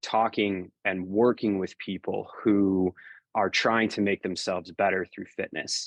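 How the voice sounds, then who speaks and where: An unremarkable speaking voice from a man, fairly slow and fairly even in intonation, with a dry, close sound and no echo. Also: quiet background. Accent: American. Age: 30s. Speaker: fitness coach and newsletter writer. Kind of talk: Q&A livestream monologue. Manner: casual with frequent fillers.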